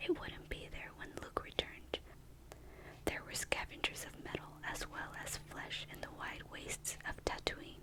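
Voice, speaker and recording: Whispered speech comes at a moderate pace over noticeable background noise. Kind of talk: novel reading.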